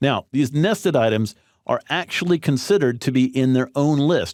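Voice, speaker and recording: An ordinary speaking voice with lively intonation keeps a moderate pace. The background is silent in this very clean recording. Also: man. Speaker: online course instructor. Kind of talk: tutorial.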